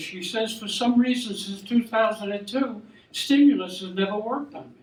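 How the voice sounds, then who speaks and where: Audible room echo surrounds a man whose voice is high-pitched. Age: 80s+. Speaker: war veteran, amateur comedian. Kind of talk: stand-up. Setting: stage with audience. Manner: halting.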